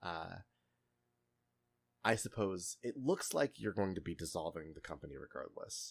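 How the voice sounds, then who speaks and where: A man puts on a raspy character voice. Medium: actual play. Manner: polite, hesitant.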